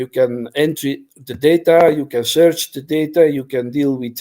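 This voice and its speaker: A man's fairly high voice with a dark, mellow tone, fairly even intonation and a moderate pace. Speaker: library software developer. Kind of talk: technical presentation.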